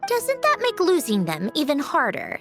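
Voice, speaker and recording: A put-on character voice runs high in pitch at a moderate pace. Faint music plays in the background. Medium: machinima. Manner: chatty, expressive.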